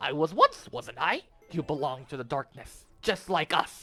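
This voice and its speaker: A man's put-on character voice, fairly high-pitched, at a moderate pace. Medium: read story. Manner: sneering, mocking.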